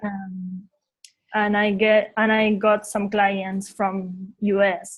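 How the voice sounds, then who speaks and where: In a Uruguayan accent, a woman speaks very slowly at medium pitch. Her delivery is monotone and flat, and somewhat breathy. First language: Spanish. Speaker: visual designer. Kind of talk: interview. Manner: halting.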